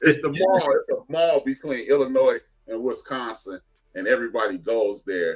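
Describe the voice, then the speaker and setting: A man with an American accent talks over music in the background. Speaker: podcast host. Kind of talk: casual chat. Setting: live stream.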